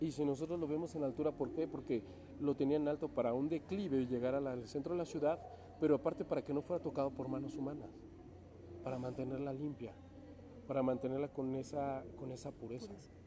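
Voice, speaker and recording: The man has an ordinary speaking voice with a fairly high pitch. He talks at a fairly quick pace with ordinary pitch variation. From Mexico, Toluca. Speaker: opera singer. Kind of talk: interview. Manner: laughs often.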